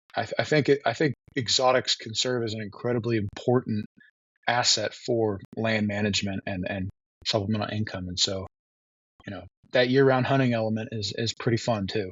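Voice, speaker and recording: A man with an American accent talks at a fairly quick pace in a normal speaking voice, medium in pitch with fairly even intonation. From Texas, Austin. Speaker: wildlife biologist. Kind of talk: interview.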